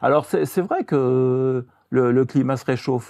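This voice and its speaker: A man speaks very slowly. His tone is dark and mellow. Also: quiet background. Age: 70s. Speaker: journalist and author. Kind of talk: interview. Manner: hesitant, with fillers.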